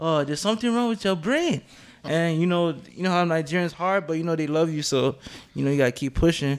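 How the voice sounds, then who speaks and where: A man's high-pitched voice at a very fast pace, with ordinary pitch variation. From Nigerian heritage. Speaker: photographer and social media personality. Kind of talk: casual chat.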